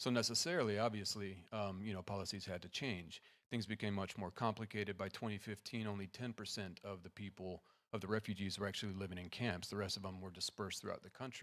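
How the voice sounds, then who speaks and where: A soft-spoken man talks at a very fast pace, fairly low in pitch with fairly even intonation, in a very clean recording with a silent background. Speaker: assistant professor. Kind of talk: conference presentation. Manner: trying to speak softly.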